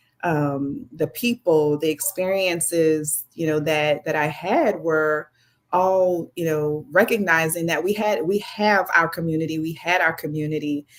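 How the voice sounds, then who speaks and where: A woman with a New Orleans accent, fairly low in pitch, with ordinary pitch variation and hardly any pauses. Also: fairly slow pace. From New Orleans, lower Ninth Ward. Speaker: biotech company founder and CEO. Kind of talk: casual interview.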